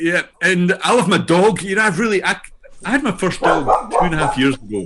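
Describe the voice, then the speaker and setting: A man speaks with a Scottish accent at a fairly quick pace, his pitch high for a man. His intonation is lively, and there is noticeable background noise. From Scotland. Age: old. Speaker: AI learning entrepreneur and author. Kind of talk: interview self-introduction. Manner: hesitant, with fillers and repetitions.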